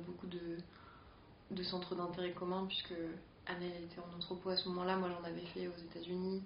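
A woman speaks in a fairly low voice with monotone, flat intonation. Noticeable background noise runs behind her. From rural Picardy, France. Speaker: artist and educator. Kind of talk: casual interview.

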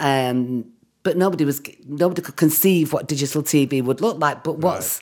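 Her pitch sits very deep and low for a woman, with ordinary variation. This woman talks at a moderate pace. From Manchester, England. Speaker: writer and director. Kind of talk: casual interview chat.

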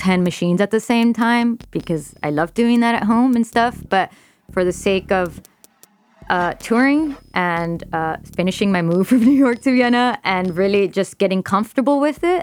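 A normal speaking voice with an American accent, lively intonation, very even loudness and a fairly slow pace. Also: woman. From Texas, Laredo. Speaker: electronic music producer. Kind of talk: radio interview. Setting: studio.

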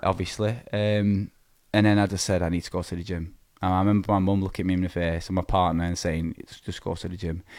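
A man speaks very fast with a Lancashire accent in a very deep, low pitch. His intonation is monotone and flat, and the recording is very clean with a silent background. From northern England, Preston, Lancashire. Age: 20s. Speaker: amateur bodybuilder. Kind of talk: casual interview. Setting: studio.

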